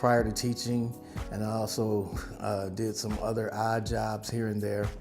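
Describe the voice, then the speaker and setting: Over background music, a man speaks at a moderate pace with a medium pitch and fairly even intonation. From Milwaukee. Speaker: retired teacher. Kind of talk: interview answer.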